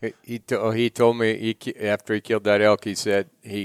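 A man's plain, everyday voice at medium pitch, ordinary pitch variation, dry, close sound with no echo. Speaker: ranch owner or employer. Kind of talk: casual storytelling.

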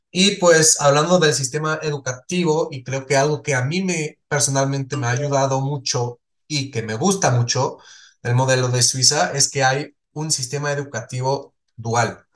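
A man talks at a fairly slow pace. His voice is somewhat breathy. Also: fairly high pitch for a man, fairly even intonation. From Switzerland, small village. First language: not Spanish (Swiss) (speaking Spanish). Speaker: entrepreneur. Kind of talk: interview conversation.

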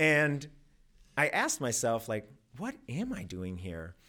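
On a very clean recording with a silent background, a man speaks with a Midwestern American accent. His pitch swings very widely. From rural Missouri, US Midwest. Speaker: storytelling class graduate. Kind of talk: personal storytelling performance. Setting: stage with audience.

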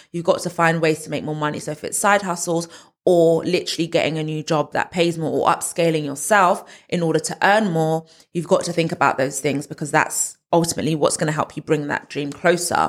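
In a very clean recording with a silent background, a woman talks at a fairly quick pace with a London accent. Her fairly low voice keeps a monotone, flat intonation. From northwest London. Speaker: property content creator. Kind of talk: casual interview.

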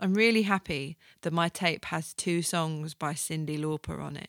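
A woman speaks in an ordinary speaking voice, fairly low in pitch, at a moderate pace with fairly even intonation. The recording is very clean with a silent background and a dry, close sound with no echo. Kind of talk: radio DJ patter, chatty solo podcast intro. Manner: casual, rambling, self-deprecating, laughs at own jokes, filler-heavy; warm, informal, playful, full of ums and asides.

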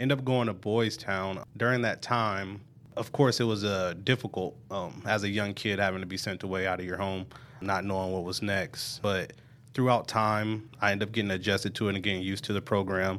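In a very clean recording with a silent background, a man with an American accent uses a normal speaking voice, fairly low in pitch, speaking at a fairly quick pace with fairly even intonation. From Omaha, Nebraska (North Omaha). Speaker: juvenile probation officer. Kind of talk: interview, personal story. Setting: studio.

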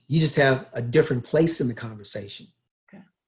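A man with an American accent talks at a very fast pace and a medium pitch. His voice is somewhat breathy, with ordinary pitch variation. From US South, Louisville, Kentucky. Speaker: beach volleyball coach. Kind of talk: casual interview conversation.

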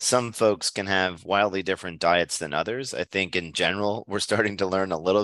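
Against a quiet background, a man talks at a moderate pace in a very deep, low pitch with a bright, sharp tone and fairly even intonation. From Pennsylvania, near Hershey. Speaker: chemist. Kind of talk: interview.

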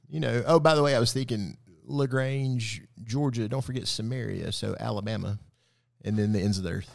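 On a very clean recording with a silent background, a man talks with a Southern US accent at a fairly quick pace. His medium pitch shows ordinary pitch variation. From West Tennessee. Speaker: pastor. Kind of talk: casual bible study chat.

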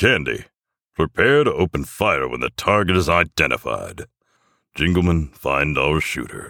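Growling in a put-on character voice, a man speaks at extremely low pitch with vocal fry and big pitch swings. The tone is bright and sharp, and the sound is dry and close with no echo. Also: fairly slow pace, very clean recording, silent background.

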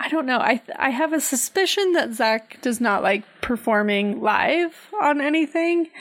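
Over noticeable background noise, a woman speaks slowly in a high voice, her pitch swinging very widely while her loudness stays very even. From Canada. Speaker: podcast co-host. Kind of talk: casual chat.

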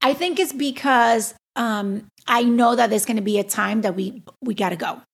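Her pitch fairly high and varying in an ordinary way, a woman with an ordinary speaking voice talks at a moderate pace. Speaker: lawyer and podcast host. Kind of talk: casual chat.

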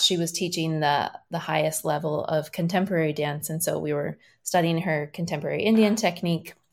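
Against a silent background on a very clean recording, a woman with an unremarkable speaking voice talks at a fairly low pitch with fairly even intonation. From Iowa, US Midwest. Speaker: dancer and choreographer. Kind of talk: interview.

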